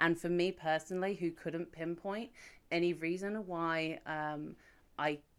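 A woman with an English accent speaks at a fairly low pitch with ordinary variation. The recording is very clean, the background silent. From England. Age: 30s. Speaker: podcast co-host. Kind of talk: casual chat.

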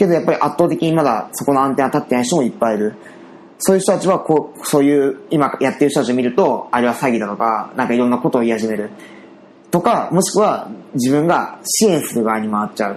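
A man talks at a very fast pace with lively intonation and a fairly high pitch. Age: 30s. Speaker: web company owner. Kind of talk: casual chat.

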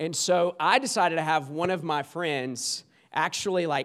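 Speaking very slowly, a man with a Southern US accent has a high pitch. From US South, small-town South Carolina. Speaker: guest preacher. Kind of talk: sermon.

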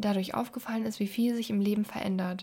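Speaking at a fairly high pitch with fairly even intonation, a woman has a plain, everyday voice. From Germany, Düsseldorf. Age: 20s. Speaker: podcast host. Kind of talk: podcast intro monologue.

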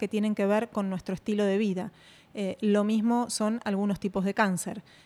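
A woman speaks at medium pitch with a dark, mellow tone. The recording is very clean, with a silent background. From Argentina. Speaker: radiation oncologist and health coach. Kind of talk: interview.

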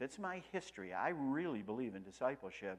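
A man speaks with a Western New York accent. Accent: Western New York American. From US Northeast, Rochester, New York. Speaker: pastor. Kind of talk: sermon.

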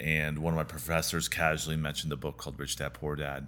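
With vocal fry and a bright, sharp tone, a man speaks at a very deep, low pitch with fairly even intonation. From US Pacific Northwest, rural eastern Washington. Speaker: real estate developer. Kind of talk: interview.

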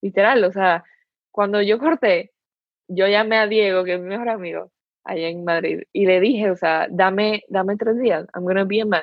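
Here is an unremarkable speaking voice from a woman. She talks at a medium pitch and a moderate pace, with ordinary pitch variation. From Dominican Republic. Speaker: university student. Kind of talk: casual chat. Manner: code-switching Spanish and English.

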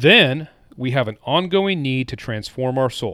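Recorded very cleanly against a silent background, a man with an ordinary speaking voice talks at medium pitch with lively intonation. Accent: American. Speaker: former member of a religious movement. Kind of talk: casual interview.

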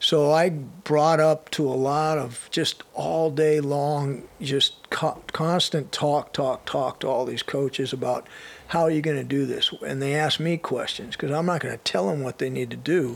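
With hardly any pauses, a man speaks in a plain, everyday voice at a fairly slow pace, fairly high in pitch with fairly even intonation. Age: 60s. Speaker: retired strength and conditioning coach. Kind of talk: casual interview chat.

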